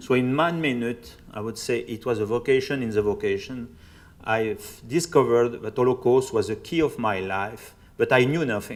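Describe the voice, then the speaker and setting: Speaking with a French accent at a moderate pace, a man uses a medium pitch and ordinary pitch variation in a very clean recording with a silent background. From France, Burgundy. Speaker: priest and Holocaust researcher. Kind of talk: public lecture.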